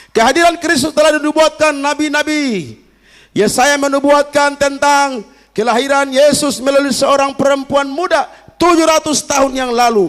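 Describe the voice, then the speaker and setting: With a Kupang accent, a man speaks at an extremely high pitch, his tone animated and his pace moderate. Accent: Kupang accent slipping in. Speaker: pastor. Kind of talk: sermon. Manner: animated, engaging the congregation.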